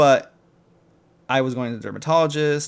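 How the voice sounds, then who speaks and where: A man talks fairly quickly with an American accent and a normal speaking voice. His intonation stays fairly even. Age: 20s. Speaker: YouTuber. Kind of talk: casual vlog rant. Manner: casual, filler-heavy. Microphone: new mic.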